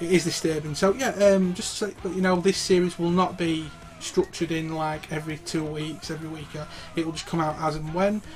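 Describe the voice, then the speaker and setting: A man with a British accent speaks at a fairly quick pace in a high voice. His intonation is fairly even, with noticeable background noise. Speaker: gaming YouTuber. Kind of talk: casual interview. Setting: home recording. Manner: stuttering.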